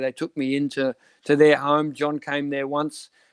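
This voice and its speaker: A man with an Australian accent, recorded dry and close with no echo. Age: 60s. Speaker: cycling sports director. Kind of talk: interview.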